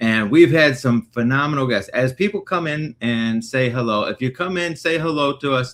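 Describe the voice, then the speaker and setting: A man with an American accent has an ordinary speaking voice at a medium pitch. He talks at a moderate pace with ordinary pitch variation and hardly any pauses. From Northwest Indiana. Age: 30s. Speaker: recovery livestream host. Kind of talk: casual chat. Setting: livestream.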